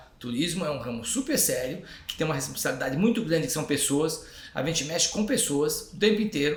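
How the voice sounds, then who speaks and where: A man's fairly high voice, lively in intonation and fairly quick in pace, with audible room echo and noticeable background noise. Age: 60s. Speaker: tourism company executive. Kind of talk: podcast interview.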